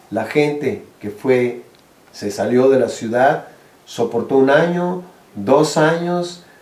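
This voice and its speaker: A man's very slow speech in a room with audible echo. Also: fairly high pitch for a man, lively intonation. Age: 60s. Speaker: social activist, eco-village co-founder. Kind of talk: interview advice. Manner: halting, with repetitions.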